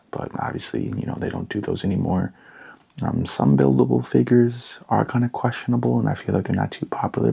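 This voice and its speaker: Soft-spoken, with a dark, mellow tone and vocal fry, the voice makes very wide pitch swings. The swings in pitch are very wide throughout. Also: man. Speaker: LEGO ASMR creator. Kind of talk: ASMR product talk.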